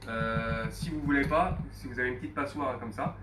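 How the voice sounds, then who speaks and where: A man talks at a very fast pace. Audible room echo and noticeable background noise fill the recording. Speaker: chef. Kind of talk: cooking demonstration. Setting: restaurant kitchen, Facebook live. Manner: hesitant, repeats words.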